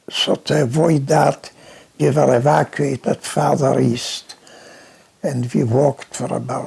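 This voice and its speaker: Noticeable background noise is present throughout. The speaking pace is fairly slow. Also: man. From Poland. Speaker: Holocaust survivor. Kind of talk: interview answer.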